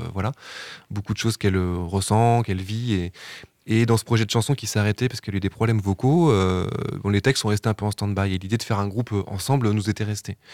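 A man's fairly low voice at a very fast pace, fairly even in intonation, with a dry, close sound with no echo and a very clean recording against a silent background. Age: 40s. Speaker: musician. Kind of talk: radio interview.

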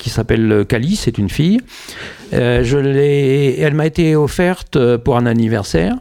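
A fairly high male voice with lively intonation at a very slow pace. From northern France, Pas-de-Calais. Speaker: writer and comic book author. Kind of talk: radio interview. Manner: hesitant.

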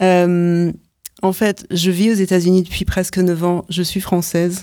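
A dark, mellow tone at a fairly slow pace, on a very clean recording with a silent background. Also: woman. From France. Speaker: choreographer and performer. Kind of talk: radio interview. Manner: halting, many repetitions.

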